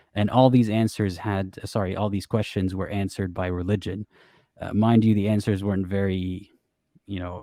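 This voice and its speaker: A man with an Arabic accent speaks at a moderate pace in a dark, mellow tone with fairly even intonation. The recording is very clean, with a silent background and a dry, close sound with no echo. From Middle East. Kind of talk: interview testimony. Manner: hesitant, many fillers.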